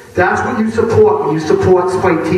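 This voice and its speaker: The speaker talks at a fairly quick pace with lively intonation and an American accent. Audible room echo and noticeable background noise fill the recording. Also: man. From Massachusetts, Boston area. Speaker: activist speaker. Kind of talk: speech to a crowd. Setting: stage at a hardcore show. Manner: unscripted, occasionally halting.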